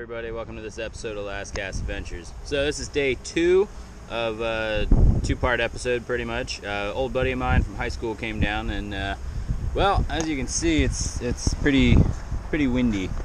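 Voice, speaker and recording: With noticeable background noise, a man's fairly quick speech sounds dry, with no echo. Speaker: fishing channel host. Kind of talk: casual vlog chat. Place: street. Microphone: phone near.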